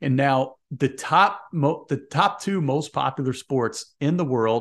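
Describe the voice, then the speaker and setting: The speaker has a Midwestern American accent and talks at a very slow pace with ordinary pitch variation. The background is quiet. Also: man. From US Midwest. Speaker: sports podcast host. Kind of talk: casual monologue. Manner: rambling.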